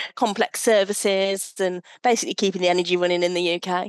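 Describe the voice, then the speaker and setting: A woman with an English accent speaks at a moderate pace and medium pitch, her intonation fairly even, in a dry, close sound with no echo and a quiet background. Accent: English accent noticeable. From English Midlands, Leicestershire (Hinckley). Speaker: sustainable procurement professional. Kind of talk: podcast interview.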